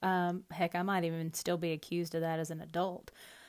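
A woman speaks with a Southern US accent in a fairly low voice. The recording is very clean, with a silent background. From US South. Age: 30s. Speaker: podcast host and rancher. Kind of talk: casual monologue.

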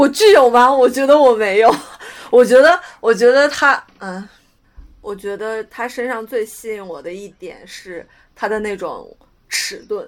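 A woman speaks in a normal speaking voice, fairly high in pitch, at a fairly slow pace with lively intonation and big swings in loudness. The recording is very clean, with a silent background. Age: 20s. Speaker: podcast co-host. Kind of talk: casual chat.

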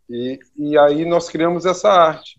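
At a very slow pace, a man speaks. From Brazil, Rio Grande do Sul (Santa Maria). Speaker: architect. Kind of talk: interview. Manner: halting, many repetitions.

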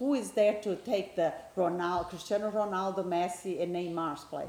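With noticeable background noise around her, a woman talks at a fairly low pitch with ordinary pitch variation. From Brazil. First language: Portuguese. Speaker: guest, football fan. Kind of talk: casual interview chat about soccer.

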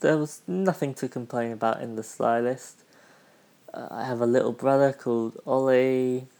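Dark and mellow in tone, a man with a British accent speaks at a moderate pace. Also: medium pitch for a man, ordinary pitch variation. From United Kingdom. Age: 20s. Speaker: podcast host. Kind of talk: casual solo podcast monologue.

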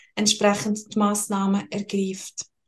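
Music plays in the background as a woman speaks with a Swiss German accent. Her pitch is medium and her pace fairly slow. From Switzerland, Lucerne. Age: 20s. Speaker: financial advisor. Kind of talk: interview.

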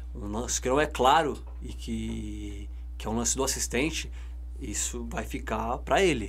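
A man speaks fairly slowly in a very deep, low pitch, somewhat breathy and monotone. Room echo is audible. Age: 20s. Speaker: football referee. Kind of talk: casual chat. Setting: studio.

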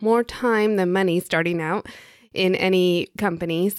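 A woman speaks at a medium pitch with fairly even intonation, in an unremarkable speaking voice. The recording is very clean, with a silent background. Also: dry, close sound with no echo. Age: 40s. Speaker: podcast host and interior design mentor. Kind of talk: solo podcast monologue.

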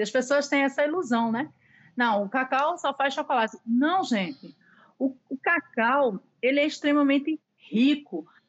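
Speaking at a fairly slow pace, a woman uses lively intonation in a high pitch. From Pernambuco, Recife. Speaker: pastry chef. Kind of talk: interview.

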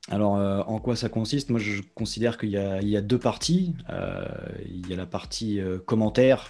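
A man speaks at a moderate pace with a fairly low pitch and ordinary pitch variation. His tone is dark and mellow. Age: 30s. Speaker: football commentator. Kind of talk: interview. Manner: halting, frequent repetitions.

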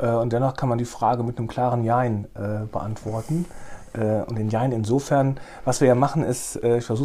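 Noticeable background noise accompanies a man talking at a moderate pace and medium pitch. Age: 50s. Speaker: newspaper editor-in-chief. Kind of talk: interview.

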